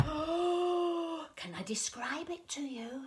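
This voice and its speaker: Over noticeable background noise, a woman talks very slowly in a warm, playful tone. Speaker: grandmother reading to grandchildren; former school storyteller. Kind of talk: children's storytime reading. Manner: warm, playful, expressive, interactive.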